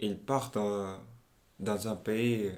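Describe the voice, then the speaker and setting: A man speaks in a fairly low pitch with a Portuguese accent. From Angola. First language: Portuguese (speaking French). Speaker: young migrant interviewee. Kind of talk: interview. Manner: halting.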